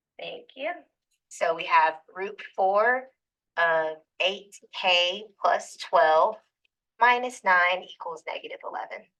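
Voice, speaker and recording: A woman at a very slow pace, with long, frequent pauses and big swings in loudness. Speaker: math teacher. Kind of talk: classroom lecture. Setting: classroom with students.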